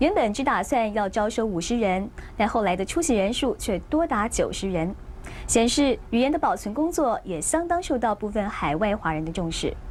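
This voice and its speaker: This woman's pitch swings very widely at a moderate pace, with noticeable background noise behind her. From Yunlin, Taiwan. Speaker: TV news reporter. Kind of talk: TV news report narration.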